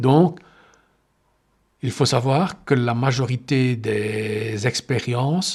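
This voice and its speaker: A somewhat breathy male voice, medium in pitch, with ordinary pitch variation. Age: 60s. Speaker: meditation teacher and healer. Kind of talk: podcast monologue. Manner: halting.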